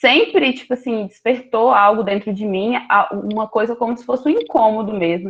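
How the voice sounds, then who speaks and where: A normal speaking voice from a woman, moderate in pace and fairly high-pitched. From Rio de Janeiro, Brazil. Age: 20s. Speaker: graduate student researcher. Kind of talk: academic presentation.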